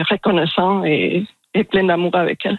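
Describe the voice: A woman speaks at a fairly low pitch with fairly even intonation. The sound is dry and close, with no echo.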